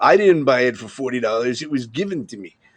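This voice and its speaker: A man talks at a very fast pace with a New York accent, his pitch swinging very widely. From Long Island, New York. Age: 50s. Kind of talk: casual chat.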